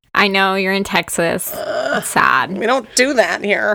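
Amid noticeable background noise, a woman with an American accent speaks at a medium pitch and a very slow pace with lively intonation. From Oklahoma (Lawton). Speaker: teacher and podcast co-host. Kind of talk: casual chat.

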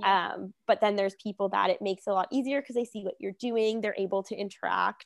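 Speaking at a very fast pace with hardly any pauses, this voice has a Canadian accent and fairly even intonation, in a dry, close sound with no echo. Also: woman, medium pitch for a woman. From Hamilton, Ontario, Canada. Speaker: naturopathic doctor. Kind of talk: casual interview chat.

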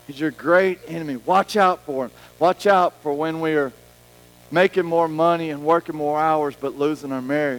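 A man's fairly high voice in an animated tone at a moderate pace, dry and close with no echo, with music in the background. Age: 40s. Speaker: pastor. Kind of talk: sermon. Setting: church.

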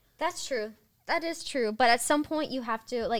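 A woman at a moderate pace with lively intonation, a normal speaking voice. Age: 20s. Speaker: freelance model. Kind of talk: casual chat.

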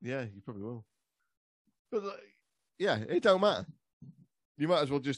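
Very wide pitch swings and big swings in loudness mark this speech in an English accent, broken by long, frequent pauses. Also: man, fairly high pitch for a man, moderate pace. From England. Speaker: history podcaster. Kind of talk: casual chat.

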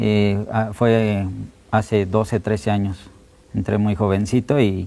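His tone dark and mellow, a man speaks at a fairly low pitch with fairly even intonation. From Mexico City. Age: 30s. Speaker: documentary photographer. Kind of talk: interview.

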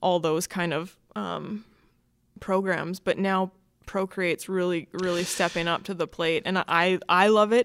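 In a Canadian accent, a woman speaks at a fairly slow pace in a normal speaking voice of medium pitch, on a very clean recording with a silent background. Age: 20s. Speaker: artist. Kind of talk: casual interview.

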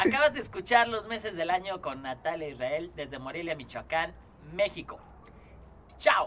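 A man speaks at a moderate pace in a high voice, with long, frequent pauses. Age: 30s. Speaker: podcast host and producer. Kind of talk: casual chat.

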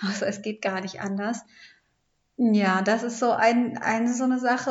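A woman talks at a moderate pace in an ordinary speaking voice. Her pitch sits fairly high, and her intonation stays fairly even. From Hamburg, northern Germany. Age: 30s. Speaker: podcast co-host, mother and family coach. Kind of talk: casual interview about her life story.

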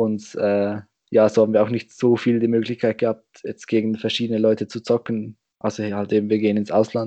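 Recorded dry and close with no echo against a quiet background, a man speaks fairly quickly in a fairly low pitch with a dark, mellow tone and monotone, flat intonation. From Switzerland. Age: young. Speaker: roundnet player and organizer. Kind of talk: casual chat. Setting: video call.

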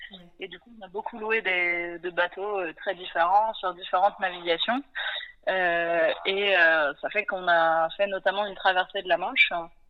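A woman with a plain, everyday voice at medium pitch, fairly slow in pace, her intonation fairly even but her loudness swinging widely. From western France (Nantes). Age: 30s. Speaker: sailor and ocean conservation project founder. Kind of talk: interview.

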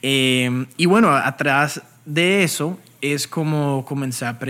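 Very slowly, a man speaks in a fairly high, bright, sharp voice with ordinary pitch variation. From Colombia, Bogotá. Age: 20s. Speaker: crypto trader and educator. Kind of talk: interview.

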